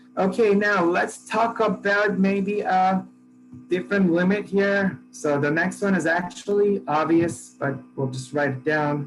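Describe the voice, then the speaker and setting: Over music in the background, a man with a high pitch speaks at a very slow pace. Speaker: math professor. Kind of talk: lecture. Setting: classroom with students. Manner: casual, halting with fillers.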